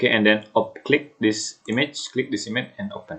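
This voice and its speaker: At a moderate pace, a man speaks at medium pitch with an Indonesian accent. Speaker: student. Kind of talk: tutorial. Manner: halting.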